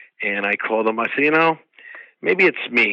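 Speaking with an American accent, a man uses a medium pitch, a bright, sharp tone, and ordinary pitch variation, heard dry and close with no echo. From upstate New York (Troy). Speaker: actor and karate master. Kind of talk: interview. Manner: halting.

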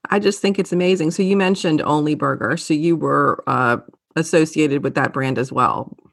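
Her very deep, low voice carries vocal fry as this woman speaks at a fairly quick pace with very even loudness and ordinary pitch variation. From Louisiana. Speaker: podcast host and TV news presenter. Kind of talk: interview.

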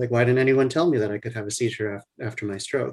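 A man speaks in an ordinary speaking voice with an American accent, his medium pitch held to fairly even intonation. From US South, New Orleans. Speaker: neurologist. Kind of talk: interview.

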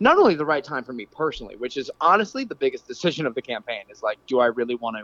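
A man rushes along at a very fast pace with hardly any pauses. His loudness swings widely, and the sound is dry and close with no echo. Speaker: city council candidate. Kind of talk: interview.

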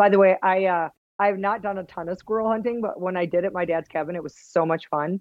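In a Wisconsin accent, a woman speaks at a very fast pace with fairly even intonation. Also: medium pitch for a woman. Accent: Midwest (Wisconsin) accent, kept. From Wisconsin, Fort Atkinson. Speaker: hunter and outdoor TV personality. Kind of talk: casual interview chat.

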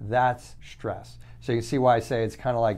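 Room echo is audible as a man with a fairly low-pitched voice talks at a moderate pace. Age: 60s. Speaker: functional medicine doctor. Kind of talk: monologue lecture. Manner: repetitive, halting restarts.

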